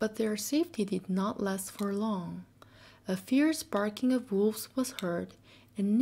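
Ordinary pitch variation comes with reading aloud in a natural voice.

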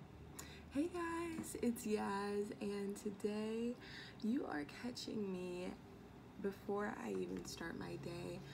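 A woman with an American accent speaks at a very slow pace with lively intonation over noticeable background noise. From US Midwest. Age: 18, college student. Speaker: beauty and lifestyle vlogger; college student vlogger. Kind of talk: casual vlog chat. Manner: chatty, many fillers. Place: home room. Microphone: phone near.

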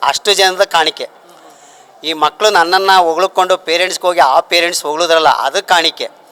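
A high-pitched man's voice, monotone and flat, with very even loudness and a dry, close sound with no echo, over noticeable background noise. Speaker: retiring school headmaster. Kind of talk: farewell speech.

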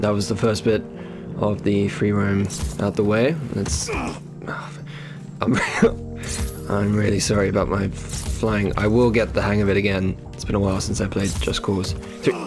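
With music in the background, a man with a fairly low voice speaks fairly slowly using lively intonation. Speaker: gaming channel host. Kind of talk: gameplay commentary, casual talk over a video game. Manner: deliberately calm, measured.

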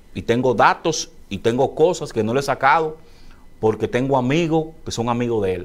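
A man speaks at a moderate pace in a normal speaking voice, his pitch medium. His intonation is lively. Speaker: political interview host. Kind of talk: interview.

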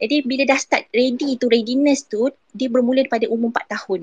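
A woman is talking. Her voice is fairly high. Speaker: early childhood educator. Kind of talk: casual chat.

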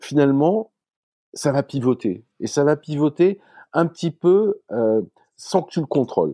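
A man speaks at a medium pitch in a dark, mellow tone. The sound is dry and close, with no echo. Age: 60s. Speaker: startup founder. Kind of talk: casual interview.

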